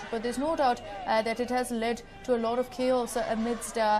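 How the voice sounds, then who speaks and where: A woman with an Indian accent talks at a moderate pace in a fairly high pitch, with music playing in the background. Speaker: TV news anchor. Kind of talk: live news phone-in discussion.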